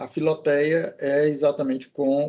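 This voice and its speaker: A man's voice with a dark, mellow tone. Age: 60s. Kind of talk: casual podcast chat about the gospel. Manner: halting, with fillers.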